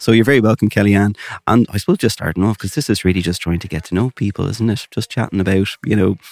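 Someone with an Irish accent speaks at a very fast pace. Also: man, dry, close sound with no echo. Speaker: podcast host. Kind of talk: casual chat. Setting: community arts venue with background music.

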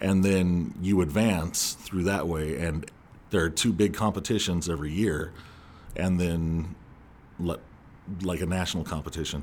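A man with a Californian accent speaks at a moderate pace in a very deep, low pitch. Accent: Californian American English. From Southern California. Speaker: former speech competitor and actor. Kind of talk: casual interview.

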